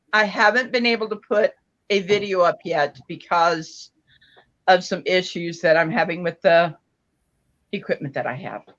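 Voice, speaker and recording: At a moderate pace and medium pitch, a woman speaks with ordinary pitch variation and long, frequent pauses. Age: 60s. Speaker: crochet crafter. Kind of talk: casual chat; tutorial. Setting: live stream.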